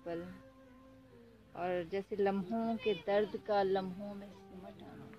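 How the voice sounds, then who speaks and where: In a normal speaking voice, a woman talks with fairly even intonation. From Pakistan. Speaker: poet. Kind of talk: poetry reading.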